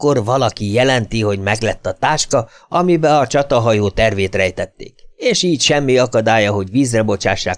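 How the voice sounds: This is a natural reading voice. It is the only trait noted.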